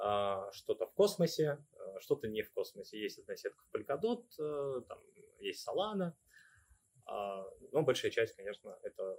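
The delivery is fairly slow, with long, frequent pauses and big swings in loudness, in a dry, close sound with no echo. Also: man. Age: 30s. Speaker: crypto investor and project ambassador. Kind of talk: casual interview.

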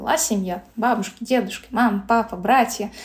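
This woman has an unremarkable speaking voice at a fairly high pitch. She talks at a moderate pace with ordinary pitch variation. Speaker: blogger. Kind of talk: interview.

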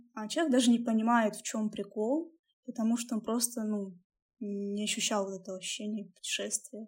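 A woman's fairly high voice carries a slight breathiness and fairly even intonation. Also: moderate pace. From Russia, Bryansk. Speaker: podcast co-host. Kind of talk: casual chat.

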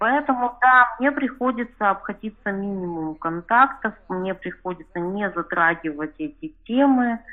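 A woman talks at a fairly slow pace with an unremarkable speaking voice. Her pitch is fairly high and her intonation lively. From Chelyabinsk, Russia. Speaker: reader of the outlet sharing her story. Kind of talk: personal interview story.

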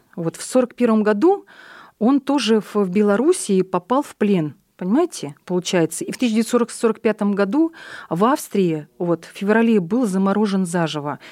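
In a very clean recording with a silent background, a woman speaks fairly slowly at a medium pitch, her tone dark and mellow, her intonation lively and her loudness swinging widely. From Russia, military towns; born in Buryatia. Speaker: head of an ethnic community association. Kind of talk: radio interview.

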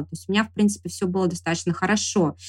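A somewhat breathy woman's voice. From Sverdlovsk region, Russia (Urals). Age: 30s. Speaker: camera assistant and blogger. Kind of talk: interview.

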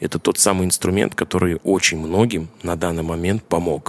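A man's very deep, low voice at a moderate pace, monotone and flat, with a dry, close sound and no echo. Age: 30s. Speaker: drummer. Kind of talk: casual interview chat. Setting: kitchen.

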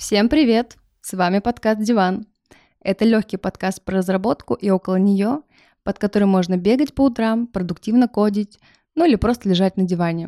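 A woman talks at a medium pitch in a dark, mellow tone. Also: ordinary pitch variation, moderate pace, dry, close sound with no echo, very clean recording, silent background. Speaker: podcast co-host, non-technical. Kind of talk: casual chat.

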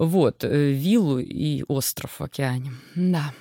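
On a very clean recording with a silent background, a woman's very deep, low voice comes across dry and close with no echo. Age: 40s. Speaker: sports psychologist and coach. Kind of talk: casual interview.

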